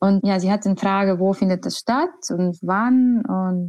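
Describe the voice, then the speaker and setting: Fairly slow pace from a woman with an Estonian accent, a dark, mellow tone and ordinary pitch variation. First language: Estonian (speaking German). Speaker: choir conductor. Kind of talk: interview. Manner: hesitant, with fillers.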